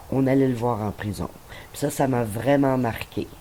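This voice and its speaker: A woman talks at a fairly slow pace in a very deep, low pitch, with ordinary pitch variation. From Quebec, Montreal. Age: 60s. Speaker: retiree. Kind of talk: interview.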